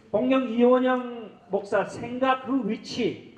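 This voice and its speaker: A man's voice with fairly even intonation against noticeable background noise. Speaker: event organizer. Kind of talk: formal address at a forum. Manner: halting with fillers.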